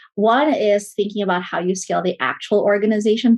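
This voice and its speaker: This woman talks at a fairly quick pace in a medium pitch. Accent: Filipino. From Philippines. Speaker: management consultant, company CEO. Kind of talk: interview.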